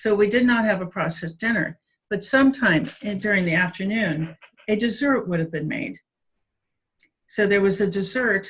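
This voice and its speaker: This woman speaks with an American accent. Her voice is somewhat breathy, with ordinary pitch variation. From US Midwest, Cincinnati, Ohio. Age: 60s. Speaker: addiction researcher and author. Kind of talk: interview.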